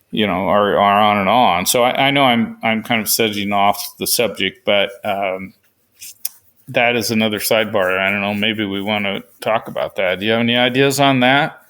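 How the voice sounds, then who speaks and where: This man's fairly low voice carries a Pacific Northwest accent and keeps a fairly even intonation. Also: moderate pace. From western Oregon, US. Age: 70s. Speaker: author and sheep hunter. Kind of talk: interview. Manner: hesitant with repetitions.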